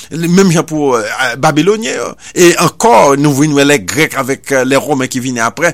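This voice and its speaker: An ordinary speaking voice from a man, moderate in pace and lively in intonation. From Haiti. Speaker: radio preacher. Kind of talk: sermon.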